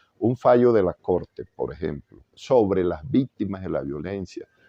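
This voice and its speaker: A man speaks with a Caribbean Colombian accent. His pitch is fairly low. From Valledupar, Colombian Caribbean. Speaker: jurist, former constitutional court magistrate. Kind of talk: interview answer.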